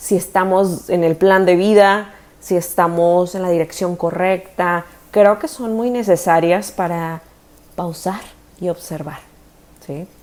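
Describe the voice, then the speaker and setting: Her tone is dark and mellow. The woman has a medium pitch, and her intonation stays fairly even. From Mexico, Tijuana. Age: 30s. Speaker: dentist and spiritual content creator. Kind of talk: personal storytelling monologue. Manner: casual, conversational.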